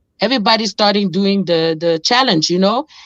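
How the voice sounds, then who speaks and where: A woman speaks at a medium pitch with a Dutch accent. The recording is dry and close, with no echo. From Netherlands. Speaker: YouTuber. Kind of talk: casual chat.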